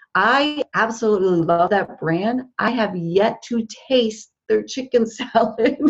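A woman with an American accent speaks in a fairly high, somewhat breathy voice. She barely pauses at all. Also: ordinary pitch variation, fairly slow pace. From New Jersey. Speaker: social media marketing consultant. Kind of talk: interview.

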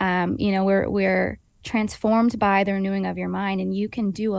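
Over a quiet background, a woman is speaking. She keeps a fairly quick pace. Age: 20s. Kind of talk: interview.

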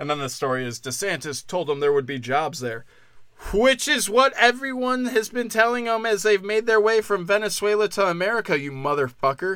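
Animated, high-pitched male voice with very wide pitch swings at a fairly quick pace. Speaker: podcast host. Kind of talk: casual solo podcast monologue.

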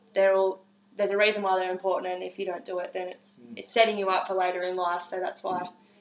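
Delivered at a very fast pace in an Australian accent, the speech has monotone, flat intonation over noticeable background noise. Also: woman, medium pitch for a woman, big swings in loudness. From Australia, Gippsland, Victoria. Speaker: chiropractor. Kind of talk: casual interview. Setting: in person.

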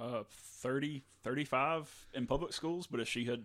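An unremarkable speaking voice from a man with an American accent, a medium pitch, ordinary pitch variation, and a moderate pace. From US South, North Louisiana. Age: 30s. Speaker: podcast co-host, graphic designer. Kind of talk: casual chat.

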